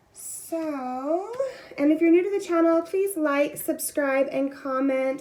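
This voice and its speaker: With noticeable background noise behind her, a woman speaks at a moderate pace. Her pitch variation is ordinary. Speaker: tarot reader. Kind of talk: pick-a-card tarot reading.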